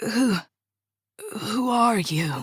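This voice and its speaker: A raspy, fairly high-pitched, female-sounding put-on character voice. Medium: read story. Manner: halting, urgent.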